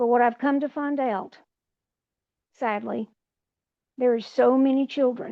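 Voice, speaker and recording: A woman with an Appalachian accent speaks at a fairly slow pace and a high pitch, with ordinary pitch variation. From West Virginia, Appalachia. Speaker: retired nurse and mother. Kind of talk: podcast interview. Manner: halting.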